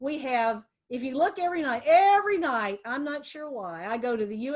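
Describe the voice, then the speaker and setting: A woman with an American accent speaks at a moderate pace in a high voice. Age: 60s. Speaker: lawyer. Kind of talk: webinar presentation. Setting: video webinar from office.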